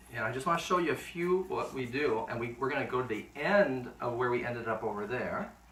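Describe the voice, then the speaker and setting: At a moderate pace, a man speaks with lively intonation and a medium pitch, with audible room echo and noticeable background noise. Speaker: home cooking video host. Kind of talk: cooking tutorial. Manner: animated.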